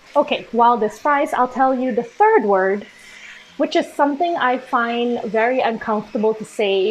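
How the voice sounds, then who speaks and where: Fairly high woman's voice, ordinary pitch variation, moderate pace, noticeable background noise beneath. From Malaysia. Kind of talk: casual talk to camera.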